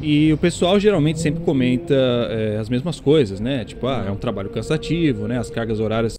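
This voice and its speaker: A man with an ordinary speaking voice at medium pitch uses lively intonation and hardly any pauses. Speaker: YouTuber and game studio worker. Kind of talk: casual vlog monologue.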